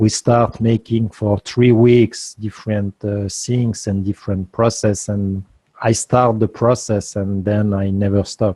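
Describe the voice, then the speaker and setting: A man talks at a fairly slow pace with a non-native accent, in a dark, mellow tone. His intonation is monotone and flat, and the sound is dry and close with no echo. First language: not English. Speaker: guest speaker on free energy. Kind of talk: interview Q&A. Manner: halting.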